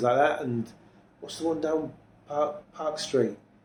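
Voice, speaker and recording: Speaking in a Yorkshire accent, a man talks at a moderate pace with a dark, mellow tone and ordinary pitch variation. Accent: Yorkshire (Hull) English. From Hull, East Yorkshire, England. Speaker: drummer. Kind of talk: interview.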